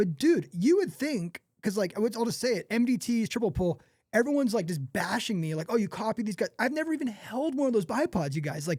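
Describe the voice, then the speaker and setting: A man with an American accent speaks fairly quickly in a high voice with hardly any pauses. His tone is animated, with very wide pitch swings. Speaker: tripod company founder. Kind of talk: podcast interview. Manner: fast.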